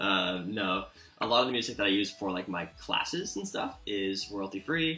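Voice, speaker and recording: Music plays behind a man speaking at a fairly low pitch. His pitch varies in an ordinary way. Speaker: art teacher streaming drawing lessons. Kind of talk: live-streamed drawing tutorial. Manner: fast; casual, many fillers.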